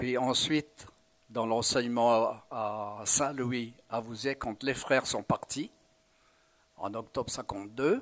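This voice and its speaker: A man of medium pitch speaks at a very slow pace with fairly even intonation. Long, frequent pauses break up his speech. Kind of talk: interview testimony. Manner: halting, many hesitations.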